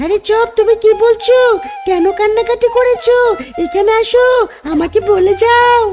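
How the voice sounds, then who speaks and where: The speaker uses a put-on character voice with an extremely high pitch at a fairly slow pace. Clear music plays in the background. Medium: machinima. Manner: playful, teasing.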